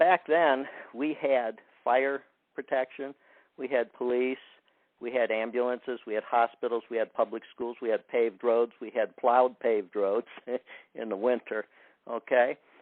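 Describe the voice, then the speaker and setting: The speaker keeps a moderate pace. Long pauses come often. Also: man, medium pitch for a man, fairly even intonation. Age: 60s. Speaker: caller. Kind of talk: call-in question at town hall. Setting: phone call. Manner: halting, many fillers.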